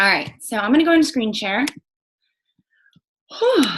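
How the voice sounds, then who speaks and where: A woman talks at a very fast pace in a bright, sharp tone. Her pitch swings very widely. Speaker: fitness coach. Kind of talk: online team training presentation. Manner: casual, filler-heavy.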